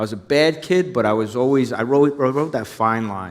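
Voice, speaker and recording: A man in a New Jersey accent at a very fast pace. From New Jersey, Hudson County. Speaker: former undercover police officer. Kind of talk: onstage interview. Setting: stage with audience.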